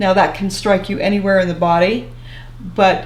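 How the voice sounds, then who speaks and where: A woman with medium pitch speaks at a moderate pace. Noticeable background noise runs beneath her. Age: 70s. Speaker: retired social worker. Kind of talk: interview answer.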